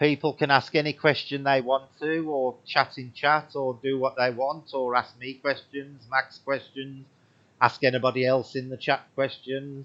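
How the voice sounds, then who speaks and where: A man speaks in an English Midlands accent. His intonation is flat and monotone. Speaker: paranormal livestream host. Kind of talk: livestream chat. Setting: home livestream.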